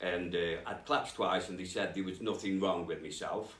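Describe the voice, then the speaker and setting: Moderate pace, with audible room echo. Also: man. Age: 50s. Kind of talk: testimony. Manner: halting.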